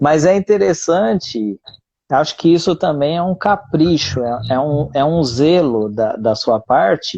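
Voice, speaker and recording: A man with a fairly high pitch and a dark, mellow tone speaks at a fairly slow pace with lively intonation. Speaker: teacher hosting a live conversation. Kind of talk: casual chat.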